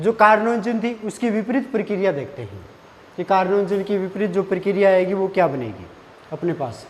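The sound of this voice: A man speaks at a moderate pace with a high pitch. His intonation is lively.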